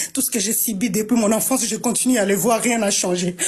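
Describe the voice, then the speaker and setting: Over noticeable background noise, a woman speaks in an animated tone. Her pace is fairly quick and her pitch variation ordinary. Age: 30s. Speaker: war victim speaking on a panel. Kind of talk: impassioned testimony. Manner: emotional, animated.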